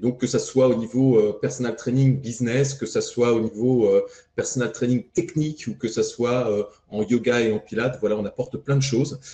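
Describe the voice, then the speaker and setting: A man speaks in a plain, everyday voice at medium pitch and a moderate pace, with fairly even intonation. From France. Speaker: fitness coach trainer. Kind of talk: podcast interview.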